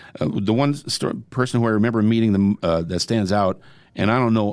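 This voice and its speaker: Here a man with an American accent uses a normal speaking voice, fairly low-pitched, with ordinary pitch variation at a fairly quick pace. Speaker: radio host. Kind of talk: casual chat.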